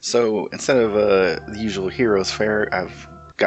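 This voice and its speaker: Music in the background behind a man's fairly low-pitched voice. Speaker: gaming let's play host. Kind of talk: casual gameplay commentary. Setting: home mic, low quality. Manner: quiet.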